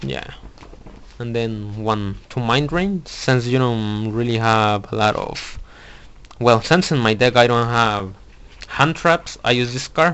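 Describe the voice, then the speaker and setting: Over noticeable background noise, a man with a non-native accent talks at a very slow pace with ordinary pitch variation. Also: medium pitch for a man. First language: not English. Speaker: card game YouTuber. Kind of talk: deck profile tutorial. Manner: halting, many fillers and restarts.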